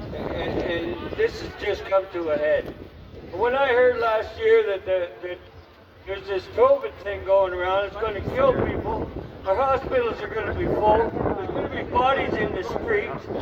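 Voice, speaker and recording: At a moderate pace and high pitch, a man talks with ordinary pitch variation while noticeable background noise goes on behind him. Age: 60s. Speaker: protest speaker. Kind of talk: rally speech. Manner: animated.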